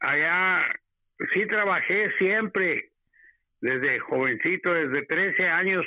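Speaking at a very slow pace, a man uses a high pitch and lively intonation. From Mexico (Torreón, Coahuila). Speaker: host's father, guest. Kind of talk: interview, personal storytelling.

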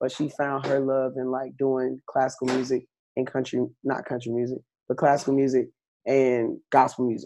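A man with a Southern US accent speaks at a medium pitch and a moderate pace. His tone is dark and mellow, his intonation monotone and flat. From US South. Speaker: country singer. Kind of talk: interview.

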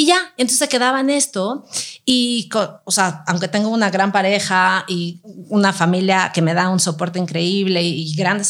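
A normal speaking voice from a woman, medium in pitch with ordinary pitch variation, at a moderate pace. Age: 40s. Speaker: workshop leader on childfree choice. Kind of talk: casual chat.

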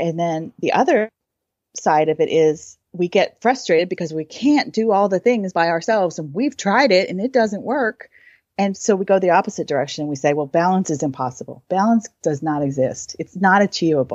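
Using lively intonation, a woman with an American accent speaks at a medium pitch in a plain, everyday voice. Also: moderate pace. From US, Michigan and Southern California. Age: 40s. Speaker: artist and writer. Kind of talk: casual chat.

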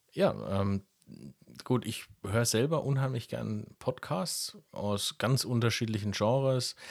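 His pitch sits fairly low. This man speaks at a very slow pace. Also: very clean recording, silent background. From Lower Franconia, Germany (Karlstadt). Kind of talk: casual podcast conversation.

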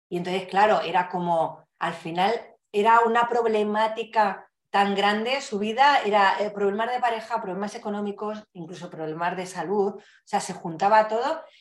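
A woman talks in an ordinary speaking voice at a moderate pace, with ordinary pitch variation. Her loudness swings widely. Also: medium pitch for a woman. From Spain, Madrid. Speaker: couples therapist. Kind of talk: casual interview.

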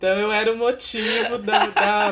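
Over noticeable background noise, a woman talks in a medium pitch with fairly even intonation. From Baixada Santista, São Paulo state, Brazil. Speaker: podcast co-host, social worker. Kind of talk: interview.

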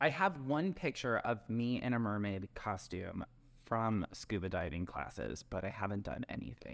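A man with an American accent speaks at a fairly low pitch with vocal fry and lively intonation. His fairly slow delivery sits on a very clean recording with a silent background. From Wisconsin. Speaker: real estate agent. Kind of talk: casual podcast chat about real estate.

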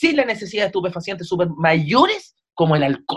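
With a Chilean accent, a man talks at a fairly quick pace in a high voice with lively intonation. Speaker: comedian. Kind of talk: casual chat.

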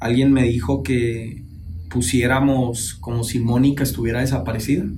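Audible room echo surrounds a man speaking at medium pitch and a moderate pace with ordinary pitch variation. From Chihuahua, Mexico. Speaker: podcast co-host. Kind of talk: casual panel discussion. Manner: animated, slangy.

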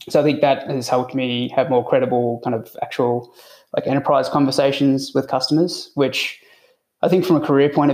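An Australian accent at a fairly quick pace. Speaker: IT consultant. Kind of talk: podcast interview.

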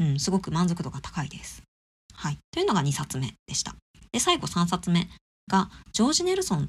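In a very clean recording with a silent background, a woman talks at a fairly quick pace. Her loudness swings widely. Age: 30s. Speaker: podcast host, art enthusiast. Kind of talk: casual solo podcast talk about an exhibition. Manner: casual, with many fillers.

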